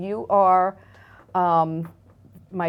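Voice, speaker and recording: A woman's fairly low voice in a New York accent, monotone and flat, at a very slow pace. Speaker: real estate agent and community figure. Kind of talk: interview.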